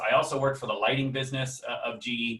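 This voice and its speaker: This man's pitch sits in the medium range. He talks with an American accent. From United States. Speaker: management consultant and trainer. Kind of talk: webinar lecture. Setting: video call webinar. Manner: hesitant, many fillers; casual, humorous.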